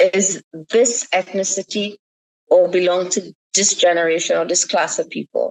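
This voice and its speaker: A woman with a Caribbean accent at a moderate pace. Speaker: writer and poet. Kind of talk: podcast interview.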